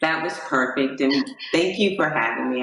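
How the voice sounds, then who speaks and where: Lively-toned woman with a very deep, low pitch over noticeable background noise. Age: 60s. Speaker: motivational speaker and pageant queen. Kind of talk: interview.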